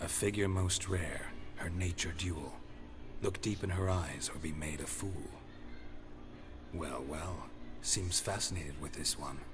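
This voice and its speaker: In a put-on character voice, a man speaks at a very deep, low pitch and a moderate pace against loud background noise. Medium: game stream. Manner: terse, dry, deadpan.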